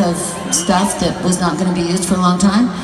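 A woman talks while crowd noise fills the background. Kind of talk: onstage storytelling. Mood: warm, playful. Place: stage. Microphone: pa.

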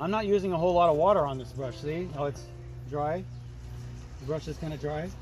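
Clear music plays in the background as a man talks at a very fast pace, the sound dry with no echo. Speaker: painting instructor. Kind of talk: tutorial. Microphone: phone near.

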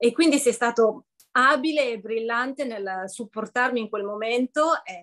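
A woman's fairly high voice at a fairly slow pace, with ordinary pitch variation over a quiet background. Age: 50s. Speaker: coaching client. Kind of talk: testimony. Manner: hesitant, many fillers. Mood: warm, smiling, grateful. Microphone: video call.

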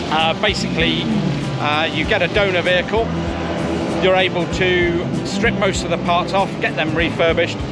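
Over clear music in the background, a man talks at a fairly slow pace with ordinary pitch variation. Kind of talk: interview answer. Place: open country.

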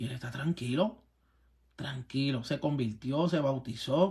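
A man's animated, somewhat breathy voice at a fairly slow pace, with lively intonation against a quiet background. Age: 40s. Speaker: pastor. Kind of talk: sermon; preaching rant vlog. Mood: confrontational, preaching. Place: home room. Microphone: phone near.

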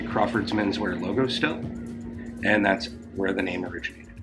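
With clear music in the background, a man talks at a very fast pace. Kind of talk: interview answer. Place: bar.

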